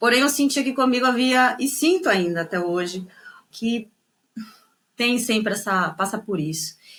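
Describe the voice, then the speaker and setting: With a northeastern Brazilian accent, a woman talks at a moderate pace with very wide pitch swings and long, frequent pauses, recorded very cleanly over a silent background. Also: fairly high pitch for a woman. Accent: Brazilian with northeastern touch. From Brazil, São Paulo state (Guarulhos), northeastern parents. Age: 30s. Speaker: tango singer and dancer. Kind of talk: interview conversation. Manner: hesitant, many fillers and repetitions.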